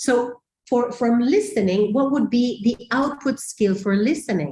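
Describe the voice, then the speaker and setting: A woman with a non-native accent speaks at a fairly slow pace in a high pitch, her tone dark and mellow, her intonation lively and her loudness very even. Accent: non-native English speaker. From Mexico. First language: Spanish. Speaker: teacher trainer. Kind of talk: webinar presentation. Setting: online webinar.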